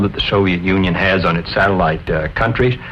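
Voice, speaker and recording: With an American accent, a man talks at a fairly quick pace in a very deep, low pitch. Noticeable background noise is present. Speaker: senator. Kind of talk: scripted political discussion.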